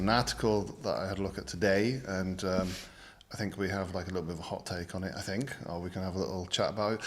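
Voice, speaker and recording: A man with a British accent and vocal fry speaks at a very fast pace amid audible room echo. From Britain. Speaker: design channel host. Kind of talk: casual chat.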